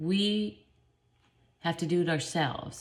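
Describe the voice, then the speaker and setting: Somewhat breathy, a woman with a fairly low pitch speaks at a fairly slow pace. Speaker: spiritual vlogger. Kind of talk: casual spiritual talk. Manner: rambling, self-interrupting.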